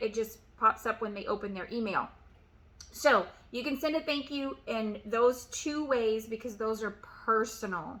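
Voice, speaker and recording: This loud voice has a bright, sharp tone, ordinary pitch variation and a moderate pace. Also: woman. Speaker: real estate agent and sales coach. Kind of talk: motivational tutorial.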